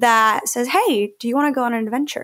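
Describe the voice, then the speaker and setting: Her voice sits high for a woman, with ordinary pitch variation. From Mexico. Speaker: shark scientist. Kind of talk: interview. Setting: remote call from Australia.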